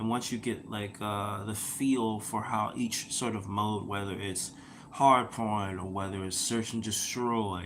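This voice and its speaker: There is audible room echo as a man speaks at medium pitch. He goes at a fairly slow pace with fairly even intonation. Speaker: gaming podcaster. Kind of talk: casual monologue podcast. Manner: halting, many fillers.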